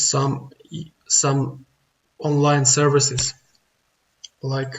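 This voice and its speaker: A very slow man with a fairly high pitch, a non-native accent and a somewhat breathy sound. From outside the US. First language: not English. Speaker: online business tutorial youtuber. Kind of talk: screen-recorded tutorial. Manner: halting, many fillers.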